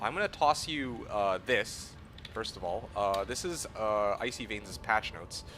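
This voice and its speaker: The speaker has a Canadian accent and lively intonation. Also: man. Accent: Canadian accent, close to American. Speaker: video game streamer. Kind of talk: casual live-stream chat. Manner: halting, many fillers and restarts.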